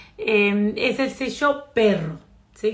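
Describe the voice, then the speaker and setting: Her voice sits fairly high in pitch. The speaker is a woman whose pitch moves in a typical way. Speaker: psychotherapist and astrology teacher. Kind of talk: live stream talk. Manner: hesitant fillers.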